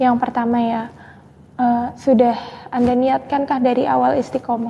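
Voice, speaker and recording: Over noticeable background noise, a soft-spoken woman talks at a moderate pace in a high pitch. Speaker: Islamic spiritual advisor. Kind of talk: live stream Q&A religious advice.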